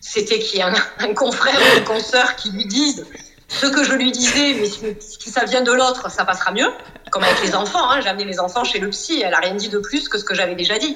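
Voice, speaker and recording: Lively intonation moves at a moderate pace over noticeable background noise. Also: woman. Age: 40s. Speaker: psychoanalyst and coach. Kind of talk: casual interview.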